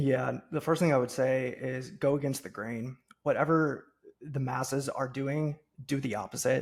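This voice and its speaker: A man's somewhat breathy voice at a moderate pace, with fairly even intonation. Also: medium pitch for a man. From US Midwest, Cincinnati, Ohio. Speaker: podcast host and business coach. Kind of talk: podcast interview.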